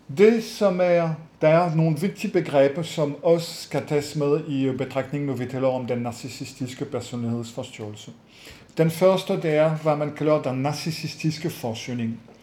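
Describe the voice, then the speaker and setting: Against audible room echo, a man with a French accent speaks at a fairly slow pace and a fairly high pitch, with ordinary pitch variation. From France. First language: French (speaking Danish). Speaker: psychologist. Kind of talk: webinar lecture. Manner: hesitant with many fillers.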